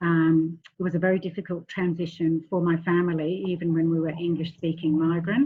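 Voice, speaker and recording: At a moderate pace, the voice stays monotone, its intonation flat. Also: woman. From England and Western Australia. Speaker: family therapist. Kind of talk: online workshop presentation. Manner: hesitant, frequent ums.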